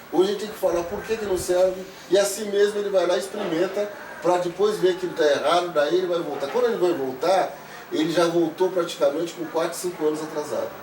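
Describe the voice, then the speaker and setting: Over noticeable background noise and audible room echo, a high-pitched man races along at a very fast pace with fairly even intonation. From Brazil, São Paulo (Brasilândia). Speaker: local resident interviewee. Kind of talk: documentary interview, reminiscing.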